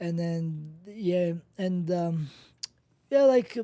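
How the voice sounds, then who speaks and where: In a Georgian accent, a man speaks at a very slow pace with a high pitch. His tone is relaxed, dark, and mellow. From Georgia (country), rural village. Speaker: professional MMA fighter. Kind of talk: interview. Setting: studio. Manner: relaxed, laid-back; quiet.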